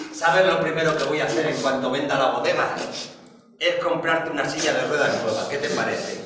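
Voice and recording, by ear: A man at a fairly quick pace, with audible room echo and noticeable background noise.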